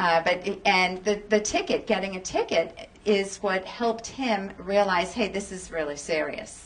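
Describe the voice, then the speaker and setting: The delivery is fairly slow, with hardly any pauses. Noticeable background noise sits behind it. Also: woman, medium pitch for a woman. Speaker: radio talk show host, clinical psychologist. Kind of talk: radio call-in counseling. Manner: calm, guiding.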